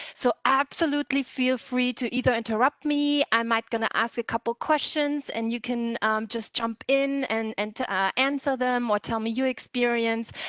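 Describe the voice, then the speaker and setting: In a German accent, a woman speaks at a high pitch and a moderate pace, with hardly any pauses and fairly even intonation. The sound is dry and close, with no echo. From Germany, Kassel in Hesse. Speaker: tourism board representative. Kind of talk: webinar presentation. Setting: video call.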